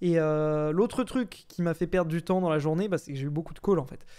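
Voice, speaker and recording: A dark, mellow voice moves at a fairly quick pace with ordinary pitch variation. The recording is very clean, with a silent background. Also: man. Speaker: YouTuber. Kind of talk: casual vlog monologue. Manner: fast; hesitant, many fillers.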